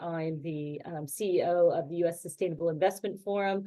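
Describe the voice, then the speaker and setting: A woman talks at a moderate pace in an American accent. Her tone is dark and mellow. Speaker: panelist and nonprofit executive. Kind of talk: webinar panel talk. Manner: halting, many fillers and repeated words.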